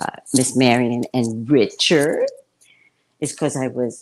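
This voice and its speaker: This woman's voice is very deep and low in pitch. She talks at a very slow pace. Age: 60s. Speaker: psychic livestream host. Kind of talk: casual chat. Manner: animated.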